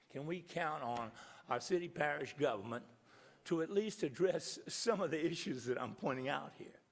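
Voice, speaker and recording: In an American accent, a man with a fairly high voice makes very wide pitch swings, and audible room echo can be heard. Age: 70s. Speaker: resident addressing city council. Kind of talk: public comment at council meeting. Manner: halting.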